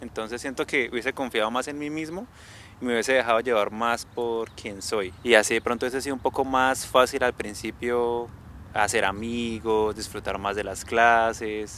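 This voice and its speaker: In a bright, sharp tone, a man speaks at a moderate pace with fairly even intonation. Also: medium pitch for a man. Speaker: podcast co-host. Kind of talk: casual chat. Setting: outdoors.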